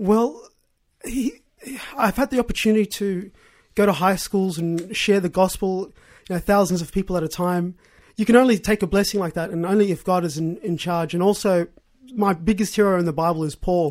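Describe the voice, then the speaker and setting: Heard on a very clean recording with a silent background, a man with an Australian accent speaks at a fairly quick pace in a high pitch with ordinary pitch variation. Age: 20s. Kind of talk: interview testimony. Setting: radio studio.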